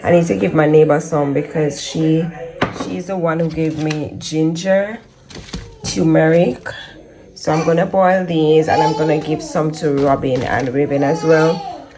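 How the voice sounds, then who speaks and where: Over noticeable background noise and audible room echo, a woman talks at a moderate pace in a very deep, low voice with ordinary pitch variation. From Jamaica. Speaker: family vlogger. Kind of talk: casual vlog talk.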